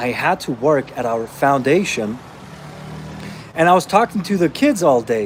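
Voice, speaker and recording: Pausing long and often, a man speaks at a moderate pace with a fairly high pitch and very wide pitch swings over noticeable background noise. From Austria (born in Romania). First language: Romanian. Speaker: fitness coach. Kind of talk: live Q&A stream. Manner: casual, conversational.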